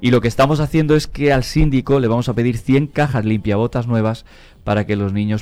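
Over music in the background, a man with a Spanish accent speaks at a fairly quick pace with lively intonation. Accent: Spanish (Spain). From Spain, near Toledo (La Mancha). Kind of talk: interview.

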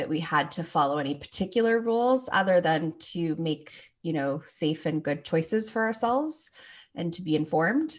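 In a Canadian accent and an unremarkable speaking voice, a woman talks at a moderate pace in a fairly low pitch with ordinary pitch variation, against a quiet background. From Toronto, Canada. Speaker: clinical psychologist and sex therapist. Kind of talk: interview.

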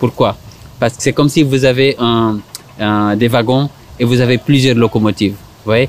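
A medium-pitched male voice over noticeable background noise. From Senegal. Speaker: psychologist. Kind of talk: interview. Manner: halting.

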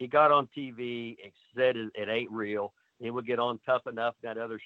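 A man at a medium pitch and moderate pace. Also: big swings in loudness. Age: 60s. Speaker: wrestling trainer. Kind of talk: casual interview. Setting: video call. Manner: animated.

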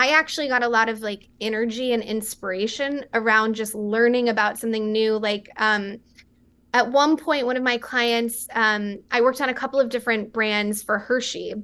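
With an American accent, the voice has a bright, sharp tone and fairly even intonation. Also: woman, fairly high pitch for a woman, moderate pace. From West Texas. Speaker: beverage company founder. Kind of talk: interview.

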